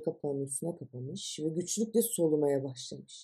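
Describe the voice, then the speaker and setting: Somewhat breathy, a woman talks at a moderate pace in a dark, mellow tone. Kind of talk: audiobook reading of absurdist short stories.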